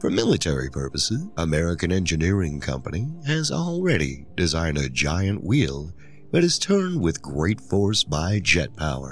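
A man speaks with lively intonation. His pitch is very deep and low. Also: moderate pace. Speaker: podcast host; musician and podcast host. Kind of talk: scripted narration, reading aloud.

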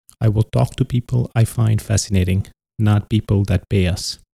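The voice has a dark, mellow tone and is somewhat breathy. The recording sounds dry and close, with no echo. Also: man. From India, Punjab (village). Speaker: podcast host, entrepreneur. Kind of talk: solo podcast monologue.

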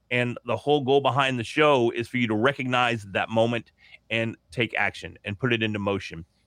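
At a moderate pace, a man speaks at a medium pitch in a plain, everyday voice against a quiet background. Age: 40s. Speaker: podcaster. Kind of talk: interview.

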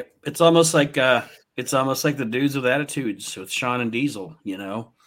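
A man with a normal speaking voice talks at a fairly quick pace and a medium pitch. His pitch variation is ordinary, and his loudness swings widely. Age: 40s. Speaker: wrestling podcast host. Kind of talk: casual chat.

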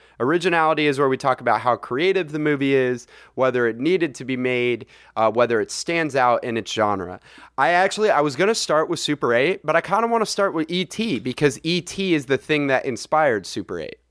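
This man speaks with an American accent, a fairly high pitch and lively intonation at a fairly quick pace, in an ordinary speaking voice. The recording is very clean with a silent background and a dry, close sound with no echo. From US, Saratoga area. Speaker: podcast co-host. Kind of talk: casual chat.

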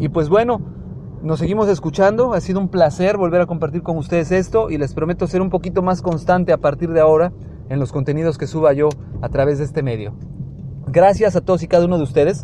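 A man talks at a very fast pace with a high pitch and ordinary pitch variation. Noticeable background noise runs behind him. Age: 30s. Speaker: podcast host. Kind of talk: personal monologue. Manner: halting, with many fillers.

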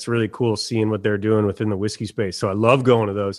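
A man talks in a medium pitch. The recording is very clean, with a silent background. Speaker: whisky brand ambassador. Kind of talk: casual chat. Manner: enthusiastic.

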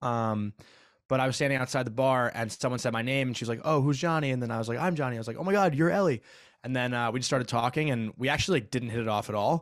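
Very fast, a man with an American accent talks at a medium pitch with ordinary pitch variation in a very clean recording with a silent background. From US Northeast, Long Island, New York. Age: 20s. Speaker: podcast host. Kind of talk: casual chat.

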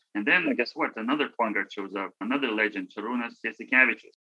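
This man has a Lithuanian accent. His pitch sits in the medium range. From Lithuania, Vilnius. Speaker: former college basketball player. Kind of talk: interview. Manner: halting.

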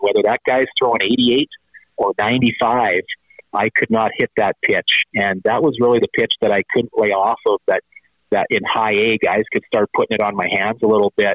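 A man with a Canadian Prairies accent, at a moderate pace and very even loudness. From Saskatchewan, Canada. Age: 40s. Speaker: former professional baseball player. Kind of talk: interview.

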